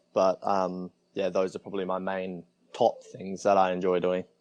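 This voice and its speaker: At a moderate pace, a man with an Australian accent speaks at a fairly low pitch in a dry, close sound with no echo. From Australia, Adelaide area. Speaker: traveler, guest. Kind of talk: casual interview chat.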